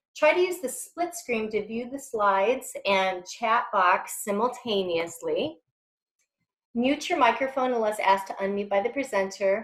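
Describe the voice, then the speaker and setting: A woman with an American accent, fairly slow, with very wide pitch swings. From rural US Midwest. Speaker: workforce development expert, webinar presenter. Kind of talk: webinar presentation. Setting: online webinar, camera off.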